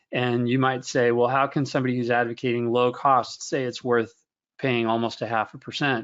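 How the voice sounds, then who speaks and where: A medium-pitched man's voice, fairly quick in pace, with monotone, flat intonation. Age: 50s. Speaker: investment research director. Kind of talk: webinar Q&A answer. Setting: online webinar.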